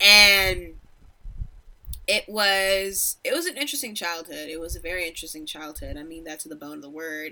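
With an American accent, a woman speaks in a fairly low pitch and a bright, sharp tone. Her pitch variation is ordinary, but her loudness swings a lot. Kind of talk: casual chat.

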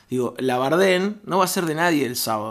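Lively intonation marks this man's speech, pitched fairly high. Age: 30s. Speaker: comedian and improv performer. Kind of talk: casual chat. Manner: halting.

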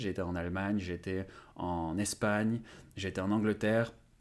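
In a very clean recording with a silent background, a man with a normal speaking voice talks at a moderate pace, fairly low in pitch, with fairly even intonation. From France. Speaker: language-learning YouTuber. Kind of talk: interview.

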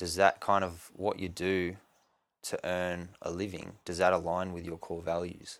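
On a very clean recording with a silent background, a man with an Australian accent talks at a fairly slow pace in a very deep, low voice with monotone, flat intonation. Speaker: podcast host. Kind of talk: casual interview.

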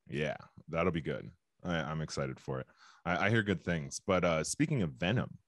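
With a very deep, low pitch and vocal fry, a man speaks at a moderate pace. His intonation is lively. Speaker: podcast host. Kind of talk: casual banter. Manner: halting, joking.

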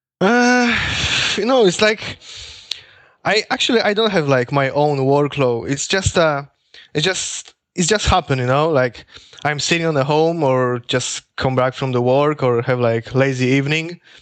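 A man speaks with a Polish accent at a fairly high pitch. His intonation is lively, his pace moderate and his loudness very even. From Poland. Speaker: music producer. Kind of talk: interview. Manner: halting.

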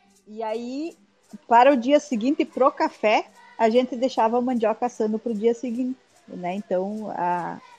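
With music in the background, a woman speaks in a high pitch with ordinary pitch variation, the sound dry and close with no echo. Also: moderate pace. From Guarani village, northern Rio Grande do Sul, Brazil. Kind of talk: casual chat. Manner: halting.

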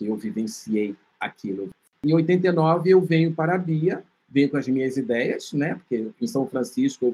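A man's voice, dark and mellow in tone, carries lively intonation. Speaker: filmmaker and HIV researcher. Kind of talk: interview.

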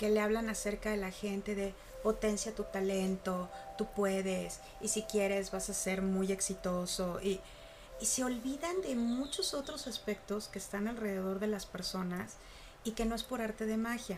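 Over music in the background, a woman with a Mexican accent speaks fairly slowly at a fairly high pitch, her intonation fairly even. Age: 40s. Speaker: university professor and coach. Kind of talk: casual interview chat.

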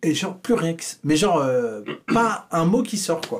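Very wide pitch swings in a high male voice, delivered at a fairly slow pace. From France, Vichy. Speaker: comedian. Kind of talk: casual chat.

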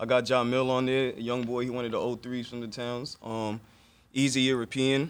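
An American accent in a monotone, with flat intonation. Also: man, medium pitch for a man, moderate pace. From Long Island, New York (Elmont), Haitian family. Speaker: comedian and rapper. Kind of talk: casual interview.

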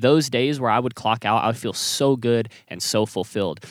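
On a very clean recording with a silent background and a dry, close sound with no echo, a man uses an ordinary speaking voice at a moderate pace with ordinary pitch variation. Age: 20s. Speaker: podcast host and music artist manager. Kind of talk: casual chat. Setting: inside an RV.

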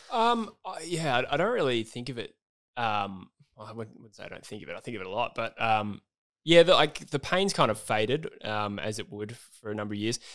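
A man in a normal speaking voice, medium pitch and lively intonation, fairly quick pace, big swings in loudness, on a very clean recording with a silent background. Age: 20s. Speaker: football YouTuber and podcaster. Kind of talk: casual chat.

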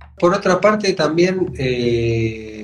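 The intonation is lively, and there is noticeable background noise. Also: man. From Argentina, Buenos Aires. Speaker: radio host and percussionist. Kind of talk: radio interview.

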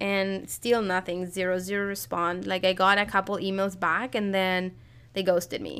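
A speaker with a Spanish accent talks at a moderate pace in a flat monotone. The recording is very clean, with a silent background. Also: woman, medium pitch for a woman. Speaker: podcast co-host and crochet and knitting designer. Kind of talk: casual chat.

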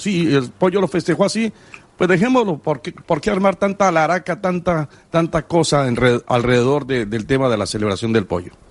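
Pitch swings very widely in this man's voice. He talks at a moderate pace. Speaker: sports radio co-host. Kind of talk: sports talk radio.

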